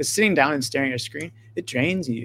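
A man with an American accent speaks very fast in a bright, sharp, animated tone with ordinary pitch variation. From US, rural farm town. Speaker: video game designer. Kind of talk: casual interview.

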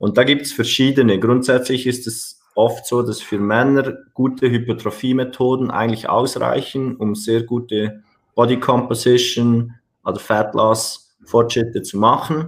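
A man speaks at a medium pitch in a monotone, flat delivery. His pace is fairly slow. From Switzerland. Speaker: personal trainer and gym owner. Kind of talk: podcast interview.

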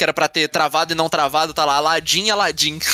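A man talks at a very fast pace, his voice dry and close with no echo. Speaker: podcast co-host. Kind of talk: casual chat.

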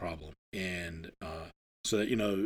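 A man with a normal speaking voice, at a moderate pace with ordinary pitch variation. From northern Maine, US. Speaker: wildlife refuge manager. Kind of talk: interview. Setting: on location at the refuge.

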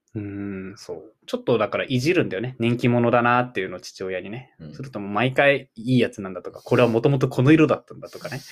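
Medium in pitch, a man talks at a very fast pace with hardly any pauses. His pitch variation is ordinary, with big swings in loudness. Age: 20s. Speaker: podcast co-host. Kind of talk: casual chat. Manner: animated.

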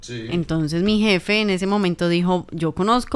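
A woman talks in an ordinary speaking voice. Her intonation is lively and her pace moderate. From Colombia, Tolima (Ibagué). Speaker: journalist and podcast co-host. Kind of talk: casual chat.

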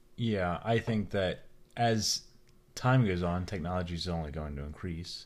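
This man mumbles at a moderate pace in a very deep, low pitch. His pitch variation is ordinary. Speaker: podcast co-host, father. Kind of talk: casual chat. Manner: mumbling; quiet. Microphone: new microphone.

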